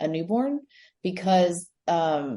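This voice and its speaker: A woman speaks with an American accent. Her fairly low voice has a dark, mellow tone. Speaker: expat podcast guest, mother. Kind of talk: casual chat. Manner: hesitant, many fillers.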